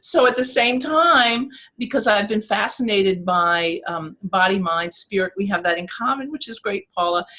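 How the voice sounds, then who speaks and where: A woman with a New York accent talks with hardly any pauses, using lively intonation, a bright, sharp tone and a fairly high pitch. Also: moderate pace. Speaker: motivational speaker and life coach. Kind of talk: interview. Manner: animated.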